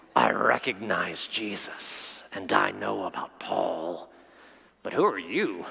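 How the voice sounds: Putting on a raspy character voice with a menacing tone, a man speaks at a fairly slow pace.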